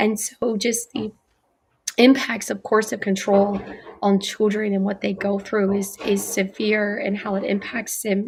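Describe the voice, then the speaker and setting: A woman's medium-pitched, monotone, flat delivery at a fairly slow pace. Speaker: online talk show host. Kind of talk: casual interview.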